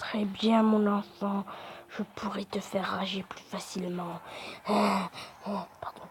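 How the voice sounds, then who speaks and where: Very slow speech comes through over noticeable background noise. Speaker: gaming YouTuber. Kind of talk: gameplay commentary. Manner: animated.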